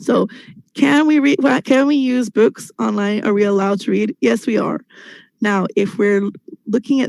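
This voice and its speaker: A woman speaks with lively intonation and a fairly high pitch at a moderate pace. It is an unremarkable speaking voice. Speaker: English teacher. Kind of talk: webinar presentation. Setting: video call.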